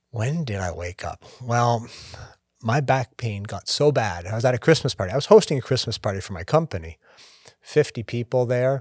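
A man with a medium pitch speaks at a moderate pace, with lively intonation and a somewhat breathy voice. The recording is very clean, with a silent background and a dry, close sound with no echo. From Canada. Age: 50s. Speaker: podcast co-host. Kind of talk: casual chat.

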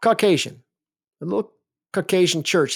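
A man with a normal speaking voice, fairly quick and with lively intonation, in a very clean recording with a silent background. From US South, Alabama. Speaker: seminary professor and podcast host. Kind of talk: lecture-style monologue.

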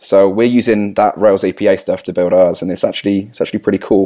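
On a very clean recording with a silent background, a man speaks at a fairly quick pace. His voice is fairly low, with a dark, mellow tone. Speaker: software developer. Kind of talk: casual chat.

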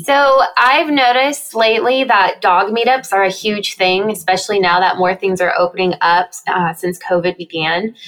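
An ordinary speaking voice, a woman's at medium pitch with an American accent, moves at a moderate pace with lively intonation, very even loudness and hardly any pauses. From US Southwest and Texas. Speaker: dog social media creator. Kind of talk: interview.

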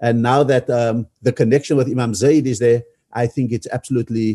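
Medium in pitch with a dark, mellow tone, a man talks at a moderate pace with fairly even intonation in a dry, close sound with no echo. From South Africa. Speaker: ambassador and activist. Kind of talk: panel discussion.

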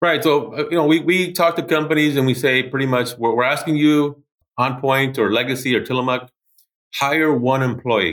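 An ordinary speaking voice with an American accent, at a moderate pace. The pitch rises and falls in a normal way. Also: man. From Los Angeles, California. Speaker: school president. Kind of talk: interview.

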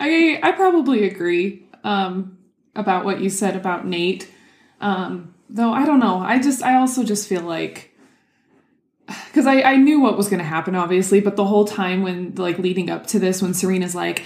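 Lively intonation, a moderate pace and a medium pitch from a woman with a plain, everyday voice. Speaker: podcast co-host. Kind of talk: casual chat.

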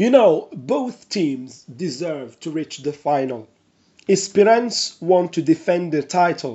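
A man with a Moroccan accent and high pitch speaks at a very slow pace with lively intonation. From Morocco. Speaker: sports reporter and analyst. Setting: remote call.

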